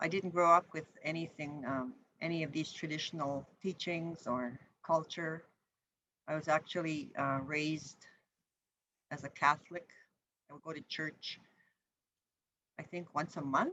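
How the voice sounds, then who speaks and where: The voice is bright and sharp, moving at a fairly slow pace with fairly even intonation, big swings in loudness, and long, frequent pauses. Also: woman, very deep, low pitch for a woman. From Manitoba, Canada. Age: 60s. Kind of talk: educational talk. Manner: halting, many fillers.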